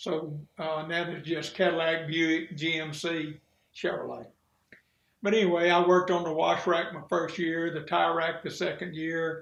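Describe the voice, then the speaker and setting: With a Mississippi accent, a man talks at a moderate pace in a high pitch. His intonation is monotone and flat, and audible room echo is present. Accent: US Southern (Mississippi). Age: 70s. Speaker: retired sheriff. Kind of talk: interview.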